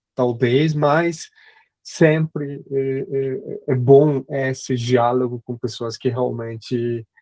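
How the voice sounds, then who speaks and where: Here a man with a Spanish accent speaks at a medium pitch and a very slow pace, with fairly even intonation. The sound is dry and close, with no echo. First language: Spanish (speaking Portuguese). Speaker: history professor. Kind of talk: academic lecture. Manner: halting, many fillers.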